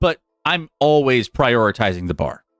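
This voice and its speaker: Over music in the background, a man speaks very slowly with lively intonation, the sound dry and close with no echo. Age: 30s. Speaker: sports podcast host. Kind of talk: casual chat. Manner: animated.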